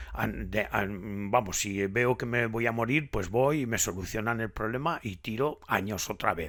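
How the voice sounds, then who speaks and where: The background is silent in this very clean recording. A man talks throughout. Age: 70s. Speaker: nature vlogger. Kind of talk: casual monologue. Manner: halting, many repetitions.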